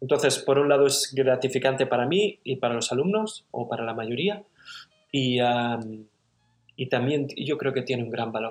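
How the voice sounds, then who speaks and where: A man, using a plain, everyday voice, talks at a moderate pace and varies his pitch in an ordinary way. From Barcelona, Catalonia, Spain. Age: 30s. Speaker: cabinetmaker and woodworking teacher. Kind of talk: casual interview conversation.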